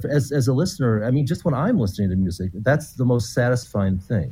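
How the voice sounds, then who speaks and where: A man with a dark, mellow tone speaks at medium pitch and a fairly quick pace. His voice is somewhat breathy, with ordinary pitch variation. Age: 50s. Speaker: composer. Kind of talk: interview.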